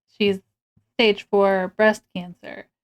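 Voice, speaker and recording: Music plays in the background as a woman speaks. The sound is dry and close, with no echo. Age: 40s. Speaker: streamer. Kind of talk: casual chat. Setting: livestream. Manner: animated.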